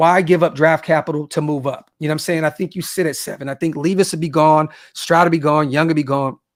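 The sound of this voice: Fairly quick and fairly even in intonation, a man talks with an American accent at a fairly high pitch. The recording is very clean, with a silent background.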